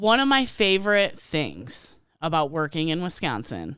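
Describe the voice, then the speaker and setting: On a very clean recording with a silent background, a woman speaks with an Illinois accent. Her pitch sits fairly low. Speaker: podcast co-host, retail worker. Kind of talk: casual chat. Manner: animated.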